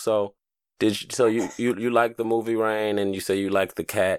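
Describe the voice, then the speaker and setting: This man has an unremarkable speaking voice, with fairly even intonation at a moderate pace. The recording is very clean and dry, close with no echo, against a silent background. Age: 30s. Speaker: podcast host. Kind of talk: casual chat.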